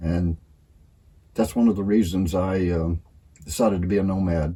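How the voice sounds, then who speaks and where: A man speaks at a moderate pace in a very deep, low voice, somewhat breathy, dark and mellow in tone, relaxed, with fairly even intonation. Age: 70s. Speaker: cowboy, full-time nomad living in a bus. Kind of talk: casual talk to camera. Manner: relaxed, folksy, hesitant.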